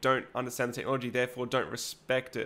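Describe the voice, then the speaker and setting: A man with an Australian accent talks at a very fast pace in a bright, sharp tone. The recording is very clean, with a silent background. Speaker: 3D printing YouTuber. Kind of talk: live stream chat reading comments. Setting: live stream at home. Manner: hesitant, many fillers.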